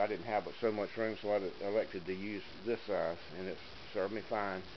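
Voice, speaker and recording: Against noticeable background noise, a man with a fairly low pitch speaks at a fairly quick pace. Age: 60s. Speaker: woodworking hobbyist. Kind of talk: tutorial. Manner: casual, hesitant with many fillers.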